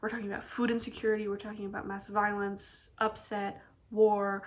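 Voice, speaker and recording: Her intonation stays monotone and flat. The woman's pitch is medium. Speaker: book reviewer. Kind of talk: casual chat. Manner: hesitant, with false starts.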